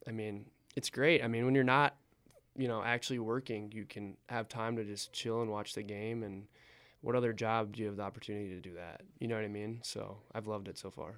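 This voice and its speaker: A normal speaking voice from a man with an American accent, fairly quick, medium in pitch, with fairly even intonation and big swings in loudness. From Wisconsin (Eau Claire). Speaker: sports team assistant manager. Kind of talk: casual interview.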